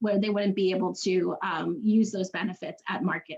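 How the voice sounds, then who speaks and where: Over noticeable background noise, a woman with an American accent talks at a medium pitch with ordinary pitch variation. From New York. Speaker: community garden organization founder. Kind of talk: conference panel presentation. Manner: fast.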